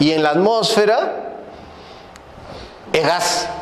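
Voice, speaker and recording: A high-pitched man's voice with lively intonation, noticeable background noise and audible room echo. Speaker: energy consultant lecturer. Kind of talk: lecture.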